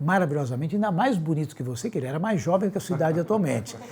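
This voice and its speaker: Very fast, somewhat breathy speech with a dark, mellow tone and lively intonation. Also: man. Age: 60s. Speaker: physician. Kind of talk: interview.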